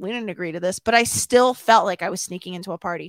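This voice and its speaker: The speaker talks at a very fast pace with lively intonation and an American accent. The recording is very clean, with a silent background and a dry, close sound with no echo. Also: woman. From Chicago suburbs, Illinois. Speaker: Schmoedown personality. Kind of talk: interview.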